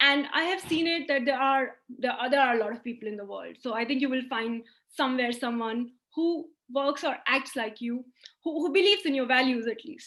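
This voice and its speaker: Speaking at a fairly quick pace, a woman has a high pitch and a bright, sharp tone. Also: ordinary pitch variation. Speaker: lecturer. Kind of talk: lecture.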